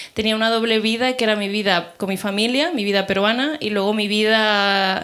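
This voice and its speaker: A woman at a medium pitch with fairly even intonation, on a very clean recording with a silent background. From Peru (Lima), moved to Barcelona at 11. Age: 30s. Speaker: panel participant, writer. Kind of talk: panel discussion before live audience. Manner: casual, many fillers and self-corrections.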